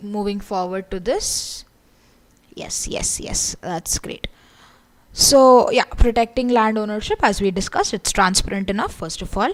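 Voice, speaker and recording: This is a woman speaking at a medium pitch. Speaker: online course instructor. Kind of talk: lecture. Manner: loud. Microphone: audibility problems.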